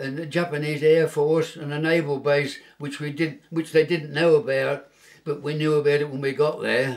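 The intonation is monotone and flat. A man delivers the words at a moderate pace. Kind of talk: interview answer. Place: home room.

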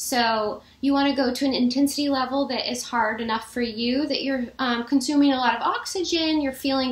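A woman with a high voice speaks at a moderate pace, and audible room echo hangs around her words. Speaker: fitness instructor. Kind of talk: casual vlog chat. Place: home room. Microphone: webcam.

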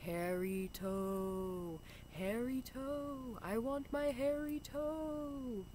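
A put-on character voice at a fairly high pitch, very slow, over clear background noise. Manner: eerie, wailing.

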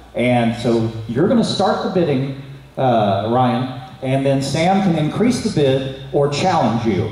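Lively intonation comes through at a fairly slow pace, with audible room echo in the recording. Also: man. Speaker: game show host. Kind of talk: game show hosting, explaining rules. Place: hall.

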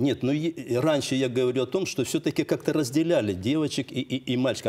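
A man's dark, mellow voice at a moderate pace. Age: 60s. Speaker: homeschooling father of many children; guest. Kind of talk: heated debate. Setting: TV studio. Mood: earnest, argumentative. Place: studio. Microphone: lapel.

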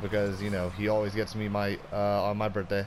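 An upbeat tone at a moderate pace, with noticeable background noise. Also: man. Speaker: gamer. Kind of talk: casual gameplay commentary. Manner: upbeat, casual.

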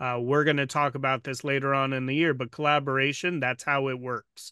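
A man's voice in a dry sound with no echo and a quiet background. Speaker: podcast host. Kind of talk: interview questions. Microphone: studio mic.

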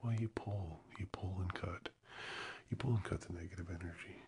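A man's somewhat breathy voice, very deep and low in pitch, with fairly even intonation. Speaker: ASMR creator. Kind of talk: soft ASMR channel talk. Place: studio. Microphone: studio mic.

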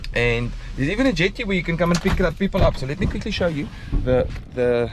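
A man at a fast pace, fairly high in pitch, with lively intonation.

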